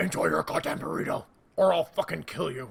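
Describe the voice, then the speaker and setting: The voice is a put-on character voice, and it sounds raspy. It moves at a fairly quick pace. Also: man, medium pitch for a man. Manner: menacing.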